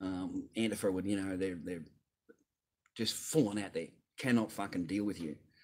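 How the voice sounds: At a moderate pace, a man talks in a low pitch with a slightly mellow tone and ordinary pitch variation.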